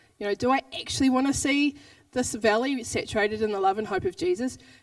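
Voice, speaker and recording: In a New Zealand accent, a woman speaks very fast in a fairly high pitch. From New Zealand, Southland. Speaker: pastor. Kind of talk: sermon.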